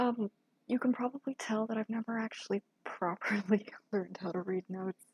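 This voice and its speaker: A woman with an American accent speaks at a fairly quick pace, somewhat breathy and fairly high-pitched, with fairly even intonation and a dry, close sound with no echo. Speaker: VTuber music producer streamer. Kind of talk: casual live-stream chat while producing music. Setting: live stream with camera at computer. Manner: halting, many fillers and repeats.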